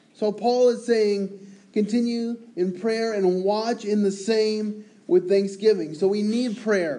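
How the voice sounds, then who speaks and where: A loud man with a high pitch and a dark, mellow tone speaks very slowly with fairly even intonation, and room echo is audible. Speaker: preacher. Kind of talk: sermon.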